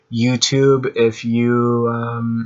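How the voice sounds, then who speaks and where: A man is mumbling. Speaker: amateur tech video maker. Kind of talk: tutorial. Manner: halting, many fillers.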